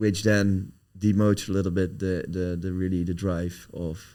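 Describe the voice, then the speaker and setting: A man speaks in a very deep, low voice with a dark, mellow tone. His intonation is monotone and flat, with a Dutch accent. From Netherlands. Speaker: company founder and CEO. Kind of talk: podcast interview. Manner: halting, searching for words.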